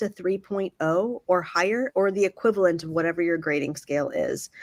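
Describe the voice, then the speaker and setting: A woman with an American accent speaks at a medium pitch and a fairly quick pace. Her intonation is lively. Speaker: university graduate admissions dean. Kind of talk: webinar presentation. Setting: video call. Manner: fast.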